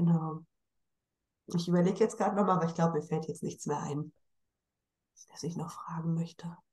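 Somewhat breathy and dark, mellow in tone, a woman speaks at a fairly low pitch and fairly quick pace with fairly even intonation and long, frequent pauses. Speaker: podcast host. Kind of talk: casual interview.

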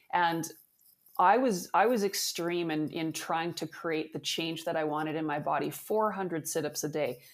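A woman's ordinary speaking voice, fairly low in pitch with ordinary pitch variation, at a moderate pace in a very clean recording with a silent background. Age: 50s. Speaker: fascia therapy founder and athletic therapist. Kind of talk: interview.

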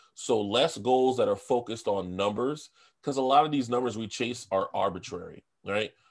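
A man's medium-pitched, moderately paced speech in a plain, everyday voice, with an American accent, ordinary pitch variation and a quiet background. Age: 30s. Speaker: food content creator. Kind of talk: casual chat.

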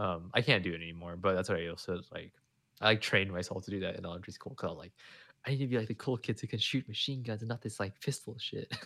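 Over a silent background in a very clean recording, a man mumbles at a very fast pace in a bright, sharp tone with ordinary pitch variation. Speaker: podcast co-host. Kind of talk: casual chat. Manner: rambling, filler-heavy.

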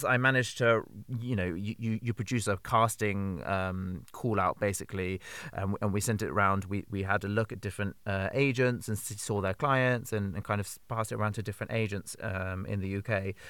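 At a moderate pace, a man with a fairly low pitch, ordinary pitch variation and an unremarkable speaking voice talks. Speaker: theatre artistic director and producer. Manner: upbeat, chatty.

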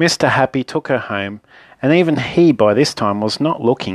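The reading comes in a natural reading voice, and the intonation is lively.

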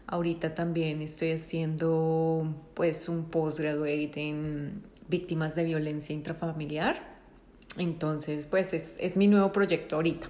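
Her voice is very deep and low in pitch, with a dark, mellow tone. This woman speaks at a fairly slow pace in a monotone, flat intonation. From Colombia. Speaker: podcast co-host, counselor. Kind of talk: casual chat.

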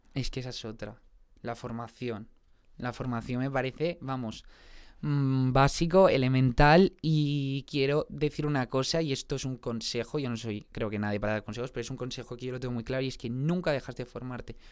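Recorded very cleanly against a silent background, a man with an unremarkable speaking voice talks at a moderate pace and medium pitch, with ordinary pitch variation. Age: 20s. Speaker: singer and musical theatre actor. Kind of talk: casual interview chat.

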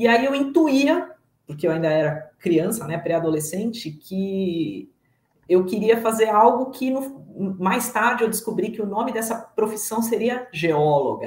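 A woman speaks at a fairly slow pace with a fairly high pitch. Her voice is somewhat breathy and swings very widely in pitch. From São Paulo state, Brazil. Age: 40s. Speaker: guest, agile professional. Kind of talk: personal testimony. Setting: live stream.

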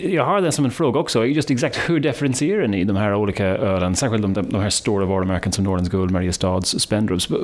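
A man's fairly low voice at a very fast pace with hardly any pauses, lively intonation and very even loudness, over noticeable background noise. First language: English (speaking Swedish). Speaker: podcast host. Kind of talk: interview; scripted narration.

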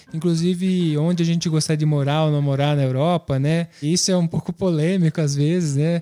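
In a dry, close sound with no echo, a man talks fairly quickly at a fairly high pitch, with very even loudness and monotone, flat intonation. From Brazil. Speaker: podcast co-host. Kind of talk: casual chat.

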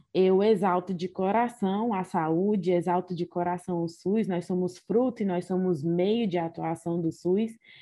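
This woman has an ordinary speaking voice at a medium pitch. She talks at a fairly slow pace with fairly even intonation. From Ceará, Brazil. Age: 20s. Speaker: doctor. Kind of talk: casual interview.

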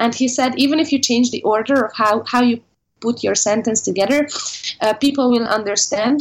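Speaking with very even loudness, a woman with a Hungarian accent talks at a fairly quick pace in a high pitch. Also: ordinary pitch variation. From Hungary. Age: 20s. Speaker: English teacher. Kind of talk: interview.

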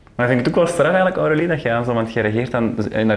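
There is audible room echo as a man speaks at a very fast pace. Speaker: podcast host. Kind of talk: casual interview conversation. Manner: fast, swallows words.

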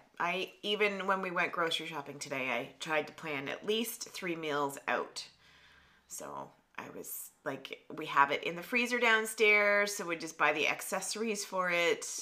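A woman with a Canadian accent speaks in a normal speaking voice at medium pitch. Her pace is moderate and her intonation lively. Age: 50s. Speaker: podcast co-host. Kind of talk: casual chat.

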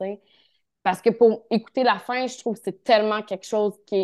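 Against a quiet background, a woman with a Quebec accent speaks at a fairly high pitch with fairly even intonation. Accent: Québécois French. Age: 30s. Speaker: naturotherapist. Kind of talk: casual interview chat.

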